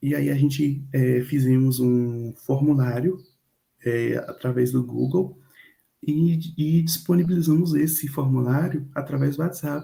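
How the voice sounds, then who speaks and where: A man's fairly high voice comes across somewhat breathy, with a dark, mellow tone and fairly even intonation. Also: fairly slow pace. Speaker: university student presenter. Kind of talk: class presentation.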